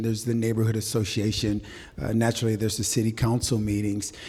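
Over noticeable background noise, a man with an American accent talks at a very fast pace and a medium pitch. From Waterloo, Iowa. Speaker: development company president, former attorney. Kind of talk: panel discussion. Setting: live event with audience.

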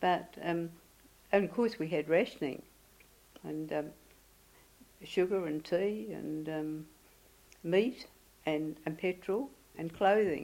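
A woman with an Australian accent speaks at a very slow pace, with long, frequent pauses. Her fairly low voice has a dark, mellow tone and ordinary pitch variation. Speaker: oral history interviewee. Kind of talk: elder life story. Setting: interview. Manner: halting; reflective.

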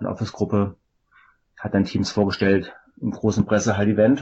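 Monotone, flat intonation marks a man's fairly low-pitched speech. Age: 40s. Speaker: software company sales manager. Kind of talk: casual tech interview.

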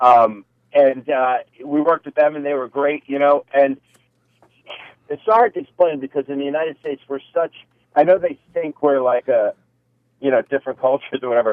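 At a moderate pace, a man talks in an unremarkable speaking voice, fairly high in pitch with ordinary pitch variation. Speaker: military veteran. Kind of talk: casual chat. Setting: phone call.

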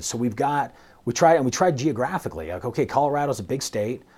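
Talking at a very fast pace, a man uses lively intonation and vocal fry. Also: very clean recording, silent background. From US West, St. George, Utah. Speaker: federal law enforcement agent. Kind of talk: interview. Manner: casual, conversational.

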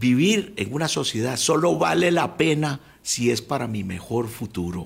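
Somewhat breathy, a man's voice at a medium pitch moves through very wide pitch swings. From Costa Rica, Alajuela. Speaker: former attorney general. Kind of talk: radio interview. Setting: radio studio.

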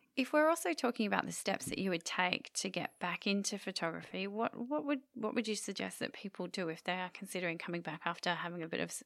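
Speaking very fast with hardly any pauses, a woman uses lively intonation at medium pitch, with vocal fry. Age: 40s. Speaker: photography podcast co-host. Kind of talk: casual chat.

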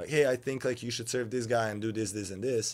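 With a Serbian accent, a man speaks fairly quickly at a medium pitch and with fairly even intonation, recorded very cleanly against a silent background. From Serbia (Novi Sad). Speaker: professional beach volleyball player. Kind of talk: casual interview chat.

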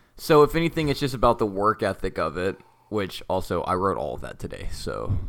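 Fairly low in pitch with vocal fry, a man talks at a fairly quick pace, his pitch swinging very widely. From North Texas, US. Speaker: podcast co-host. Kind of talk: interactive story narration; casual chat.

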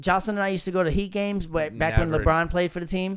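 Music plays as a man speaks at a very fast pace. His pitch is high and his tone energetic. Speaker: podcast co-host. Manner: casual, energetic.

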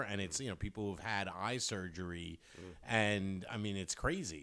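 In a plain, everyday voice, a man speaks at a fairly low pitch and a moderate pace. The recording is very clean, with a silent background. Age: 30s. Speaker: podcast co-host. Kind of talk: casual chat.

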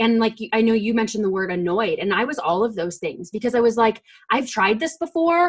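In an ordinary speaking voice, a woman talks at a fairly quick pace and fairly high pitch with lively intonation. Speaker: podcast host. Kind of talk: casual chat.

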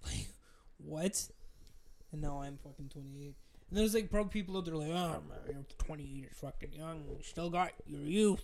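A man's fairly high voice at a moderate pace, with ordinary pitch variation, big swings in loudness and audible room echo. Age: 20s. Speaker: podcast co-host. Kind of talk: casual chat.

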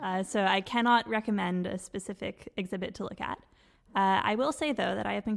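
In a Canadian accent, a woman with an ordinary speaking voice talks at a fairly quick pace, with a medium pitch and ordinary pitch variation. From Quebec. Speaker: doctoral student. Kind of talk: casual chat.

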